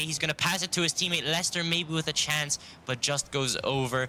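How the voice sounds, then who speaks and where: Through noticeable background noise, a fairly high-pitched man talks at a fairly quick pace. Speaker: esports commentator. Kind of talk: live commentary. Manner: loud; animated.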